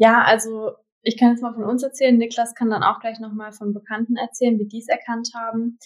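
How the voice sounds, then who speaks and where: A woman with a fairly high pitch speaks at a fairly quick pace in a monotone, flat intonation, her loudness swinging widely. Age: 20s. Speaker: partner of cancer patient. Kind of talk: interview.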